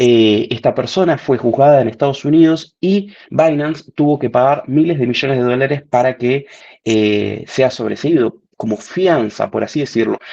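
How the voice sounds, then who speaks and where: A man talks at a moderate pace with hardly any pauses, his pitch fairly high. His tone is dark and mellow, with ordinary pitch variation. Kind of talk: webinar presentation. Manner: animated.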